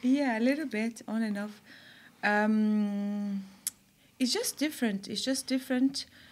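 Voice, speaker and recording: A woman's somewhat breathy, fairly high voice at a fairly slow pace, fairly even in intonation, with long, frequent pauses. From Brazil (São Paulo) and Germany. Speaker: artist and curator. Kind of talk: interview. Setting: studio. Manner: halting.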